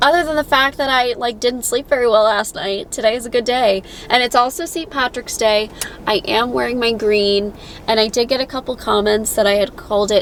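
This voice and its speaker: In an American accent, a woman with a fairly high pitch talks at a moderate pace over noticeable background noise. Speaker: patient vlogger. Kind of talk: casual vlog.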